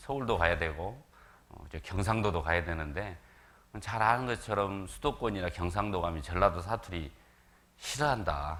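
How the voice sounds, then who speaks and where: With audible room echo, a man with a very deep, low pitch speaks in lively intonation and big swings in loudness. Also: moderate pace. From South Korea, Jeolla region (Gwangju). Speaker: visiting evangelist preacher. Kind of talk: sermon.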